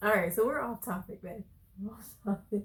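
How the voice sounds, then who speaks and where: The pace is moderate, with ordinary pitch variation. The voice is somewhat breathy. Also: woman. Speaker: vlogger, wife and stay-at-home mom. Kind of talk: casual chat.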